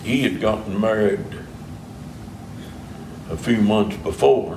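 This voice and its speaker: A man with an Appalachian accent, fairly low in pitch, ordinary pitch variation, a very slow pace, and noticeable background noise. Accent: Appalachian Southern US. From Eastern Kentucky. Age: 80s+. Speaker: pastor. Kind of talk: interview answer. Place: church. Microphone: camera far.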